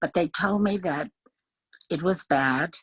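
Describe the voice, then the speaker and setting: At a fairly slow pace, the voice comes through with a dry, close sound and no echo. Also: woman. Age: 80s+. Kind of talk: interview answer, personal life story. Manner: open, candid.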